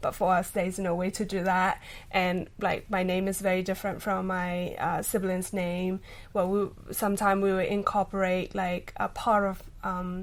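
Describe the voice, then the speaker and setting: In a very clean recording with a silent background, a woman with a Burmese accent speaks at a moderate pace in a medium-pitched, monotone, flat voice. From Myanmar. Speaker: journalist. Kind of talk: podcast interview. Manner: hesitant, many fillers.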